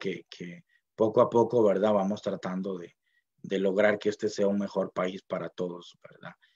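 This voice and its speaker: In a dry, close sound with no echo, a man with a Costa Rican accent speaks at a fairly low pitch. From Costa Rica, Puntarenas (Miramar). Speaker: university linguist, dictionary author. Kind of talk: speech at book launch. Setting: online event from home library. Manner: hesitant, many fillers.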